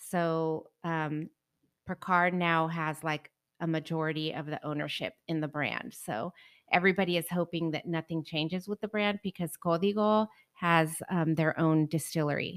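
On a very clean recording with a silent background, a woman with an American accent talks in an unremarkable speaking voice, fairly low in pitch, with fairly even intonation at a moderate pace. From Northern California. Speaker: tequila expert. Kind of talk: casual chat.

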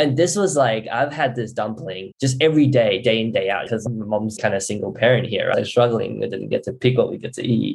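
A man at a fairly low pitch and fairly quick pace, with vocal fry, a slightly mellow tone and fairly even intonation.

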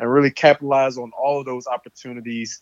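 A man speaks with an American accent in an unremarkable speaking voice. His pace is moderate, and his intonation is fairly even. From US South, Louisiana (near Baton Rouge). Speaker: pro football player. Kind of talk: interview.

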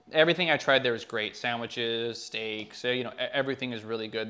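In a plain, everyday voice, a man speaks at medium pitch with fairly even intonation. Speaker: filmmaker. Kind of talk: casual interview chat. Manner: casual, filler-heavy.

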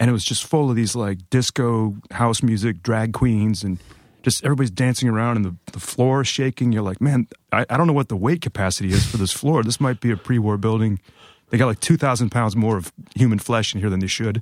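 A plain, everyday voice from a man with an American accent, fairly quick, with ordinary pitch variation, in a very clean recording with a silent background and a dry, close sound with no echo. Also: medium pitch for a man. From US Midwest, Ohio. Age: 40s. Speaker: comic book artist. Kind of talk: casual chat.

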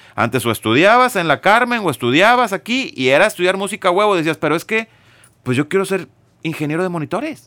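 On a very clean recording with a silent background and a dry, close sound with no echo, a man with a high pitch speaks in a raised, projected voice at a very fast pace, his bright, sharp tone swinging very widely in pitch. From Monterrey, Mexico. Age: 40s. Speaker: music business consultant, former drummer. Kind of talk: casual interview.

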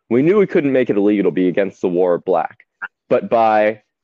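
Using a plain, everyday voice, a man talks at a medium pitch and a moderate pace. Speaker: co-host. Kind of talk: casual banter. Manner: joking, teasing.

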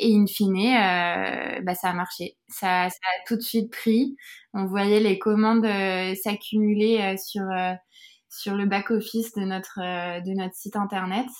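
A woman talks at a medium pitch with monotone, flat intonation. Her pace is very slow. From France, Yvelines near Versailles. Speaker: beauty brand co-founder. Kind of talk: interview. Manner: halting.

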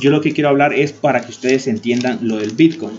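A man rattles along at a very fast pace, his medium pitch varying in an ordinary way. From Honduras. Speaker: YouTube tech tutorial creator. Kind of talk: tutorial. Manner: hesitant with frequent fillers.

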